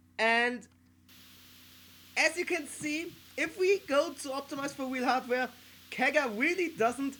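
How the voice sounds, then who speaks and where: A woman with a German accent speaks at a very slow pace, with long, frequent pauses. Her tone is bright and sharp, and her pitch swings very widely. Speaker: gaming YouTuber, playtester. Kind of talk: gameplay commentary. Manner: casual with frequent fillers.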